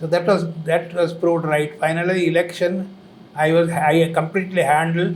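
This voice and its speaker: In a Tamil Indian accent, a man with a high pitch talks at a moderate pace. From Coimbatore, Tamil Nadu, India. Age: 80s+. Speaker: former health minister and doctor. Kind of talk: interview answer.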